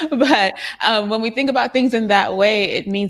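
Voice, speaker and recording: A woman is speaking at a fairly quick pace. Her intonation is lively. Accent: Trinidadian. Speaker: youtube creator on a panel. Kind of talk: panel discussion.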